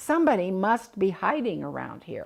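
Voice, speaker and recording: This is a put-on character voice with a growling sound. It moves at a moderate pace. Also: woman. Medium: read story.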